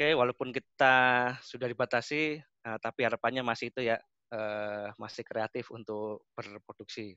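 Against a quiet background, a man speaks at a moderate pace with fairly even intonation, the sound dry with no echo. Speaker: automation technical expert, webinar speaker; webinar speaker. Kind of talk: webinar presentation. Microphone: connection dropped; video call.

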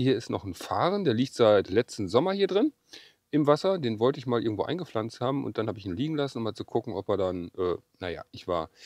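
A man talking at a very fast pace with very wide pitch swings, a quiet background and a dry sound with no echo. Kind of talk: tutorial. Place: garden. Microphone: lapel.

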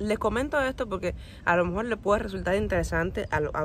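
A woman with vocal fry at a fairly quick pace, dry sound with no echo and light background noise. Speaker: travel vlogger. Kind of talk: casual vlog chat. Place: open country. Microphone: phone near.

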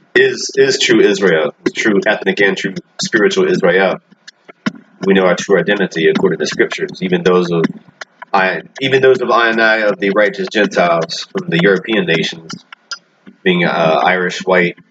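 A man's speech moves at a moderate pace, broken by long, frequent pauses, with noticeable background noise behind it. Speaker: religious commentator. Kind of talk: commentary. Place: home room. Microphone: webcam.

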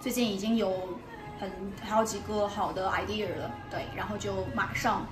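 Clear music plays in the background while a woman talks at a fairly slow pace with ordinary pitch variation. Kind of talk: casual vlog chat. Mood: friendly, a little sheepish. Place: cafe. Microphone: phone near.

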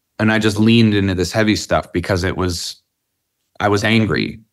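A man speaks at a fairly low pitch with vocal fry. The background is quiet. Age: 30s. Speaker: rock band singer. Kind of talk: interview. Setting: rehearsal warehouse, remote interview. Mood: reflective, candid. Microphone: video call.

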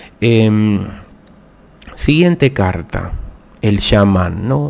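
A man speaks with a fairly low pitch. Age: 50s. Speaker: tarot reader. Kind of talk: live stream tarot talk. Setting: live video stream. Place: home room. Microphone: studio mic.

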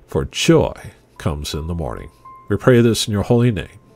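With music in the background, a man speaks with very wide pitch swings, the sound dry with no echo. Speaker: church pastor. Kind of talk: spoken prayer. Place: home room.

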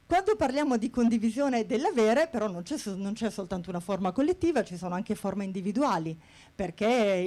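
The voice has lively intonation and a dark, mellow tone. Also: woman. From Bari, southern Italy; Italy. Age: 40s. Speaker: HR manager. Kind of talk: conference talk. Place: hall. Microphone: handheld.

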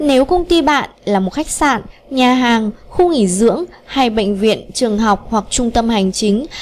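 A woman's fairly high voice at a fairly slow pace with ordinary pitch variation

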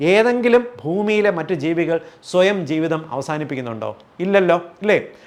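This man's voice is high in pitch. He speaks with lively intonation. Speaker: homeopathic doctor. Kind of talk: educational health talk to camera.

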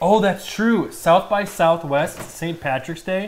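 A man speaks with an American accent at a very slow pace. Light background noise can be heard. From US Midwest. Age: 20s. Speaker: streamer. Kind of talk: casual chat. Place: kitchen. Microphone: lapel.

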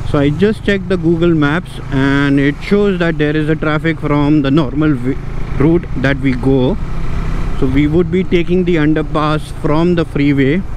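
Man at a moderate pace with very even loudness and fairly even intonation, dry with no echo, against noticeable background noise. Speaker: motovlogger. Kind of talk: casual vlog chat. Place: motorbike. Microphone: helmet.

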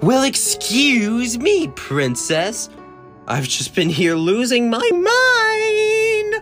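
A cartoonish character voice that sounds female speaks at a very slow pace, with clear music in the background. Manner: exasperated, sarcastic.

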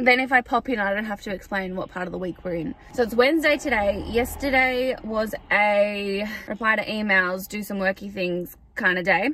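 Speaking at a moderate pace, a woman uses ordinary pitch variation. The sound is dry, with no echo. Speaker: vlogger. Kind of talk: casual vlog chat. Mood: chatty, upbeat. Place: car. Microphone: phone near.

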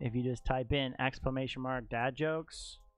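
Moderate pace and fairly even intonation, with faint music in the background and a dry sound with no echo. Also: man. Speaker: streamer teaching viewers. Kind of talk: tutorial. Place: home room. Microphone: studio mic.

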